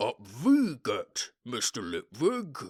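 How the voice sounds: The voice is booming, a put-on character voice.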